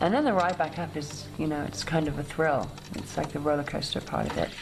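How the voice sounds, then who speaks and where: A woman talks at a fairly quick pace with a very deep, low pitch. Room echo is audible, along with noticeable background noise. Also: ordinary pitch variation. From Cayman Islands, schooled in England. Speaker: freediver. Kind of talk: documentary interview.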